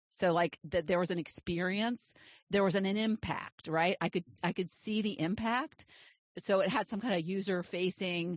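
A woman talks in a normal speaking voice at medium pitch, with a fairly slow pace and ordinary pitch variation. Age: 60s. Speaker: life coach and podcast host. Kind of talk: interview podcast chat.

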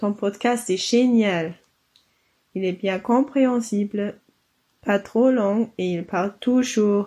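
Speaking in a German accent, a woman has a dark, mellow tone. She leaves long, frequent pauses. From Germany, Bavaria. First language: German (speaking French). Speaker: listener, student. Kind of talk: recorded voice message.

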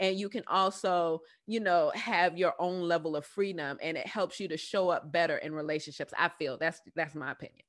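With hardly any pauses, a woman with an American accent speaks in an animated tone against a quiet background. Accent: Bronx with some southern drawl. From New York, the Bronx. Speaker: podcast host, business coach. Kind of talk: casual monologue.

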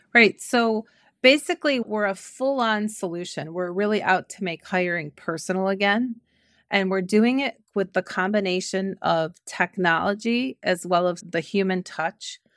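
A woman's medium-pitched voice with an Ohio accent, ordinary pitch variation and a moderate pace, in a dry, close sound with no echo on a very clean recording with a silent background. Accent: Midwestern American (Ohio). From Cleveland, Ohio. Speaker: recruiting company founder and CEO. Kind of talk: interview.

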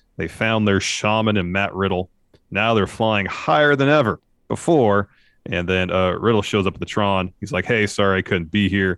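A man speaks at a moderate pace with a fairly low pitch. His is a normal speaking voice with ordinary pitch variation. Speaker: wrestling podcast co-host. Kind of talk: casual chat, show recap and review. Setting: live on Twitch stream.

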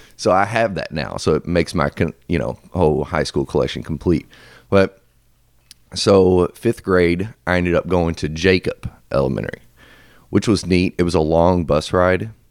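Gravelly and with vocal fry, a man's very deep, low voice moves at a moderate pace with ordinary pitch variation. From Louisville, Kentucky. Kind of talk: casual interview chat.

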